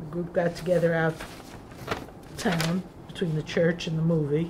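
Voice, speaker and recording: A woman's fairly low, monotone voice with flat intonation at a moderate pace, over noticeable background noise. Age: 60s. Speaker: former volunteer teacher. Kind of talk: group reminiscence. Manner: casual.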